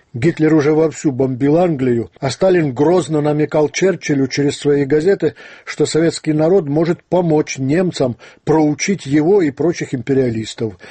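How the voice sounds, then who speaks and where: A man's somewhat breathy voice at a moderate pace, very even in loudness, over a quiet background. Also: ordinary pitch variation. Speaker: radio host. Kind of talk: radio commentary reading listener letters. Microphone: studio mic.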